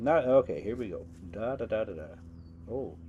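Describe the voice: With lively intonation, a man speaks at a moderate pace in a fairly low pitch and a dark, mellow tone.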